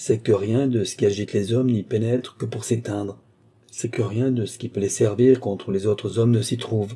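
Natural reading voice, heard here

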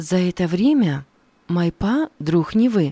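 A plain read-aloud passage, its intonation lively

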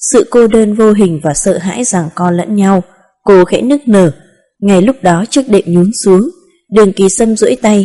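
Over a quiet background, an unforced reading voice moves with ordinary pitch variation.

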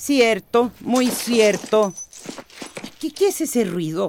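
A woman's put-on character voice, fairly high in pitch and slightly mellow in tone, at a very slow pace with lively intonation.

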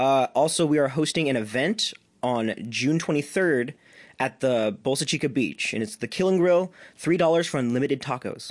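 A man's fairly high-pitched, ordinary speaking voice at a moderate pace, with ordinary pitch variation and a quiet background. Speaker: foam combat group leader. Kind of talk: casual chat.

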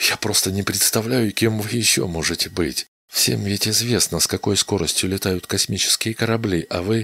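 Reading aloud in an unforced voice

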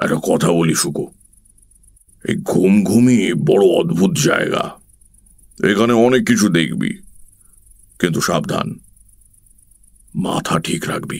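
A man puts on a character voice at medium pitch. He speaks quietly and at a fairly slow pace. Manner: cautionary, serious.

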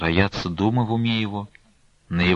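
This is an unforced reading voice. It reads plainly.

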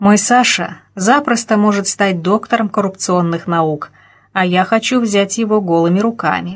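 Someone does plain reading aloud, and the pitch varies in an ordinary way.

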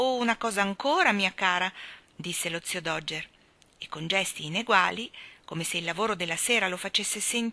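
A natural voice, reading aloud.

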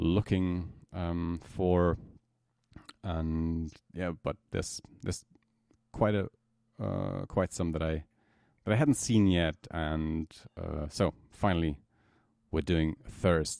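A man with a German accent and a very deep, low pitch, at a very slow pace with long, frequent pauses, in a very clean recording with a silent background. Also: fairly even intonation. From Germany. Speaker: podcast co-host. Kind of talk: casual chat. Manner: hesitant, repeats words.

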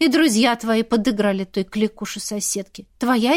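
A natural reading voice carries the whole clip.

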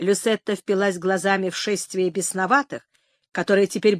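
Over a quiet background, the speaker is reading aloud in a natural voice.

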